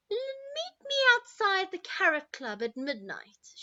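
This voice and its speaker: A woman's put-on character voice, squeaky and extremely high-pitched, raised and projected, with very wide pitch swings at a fairly slow pace. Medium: read story.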